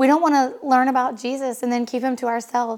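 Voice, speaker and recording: A woman speaks in a high pitch at a very fast pace. Her intonation is monotone and flat. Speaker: hairdresser and coach's wife. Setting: home.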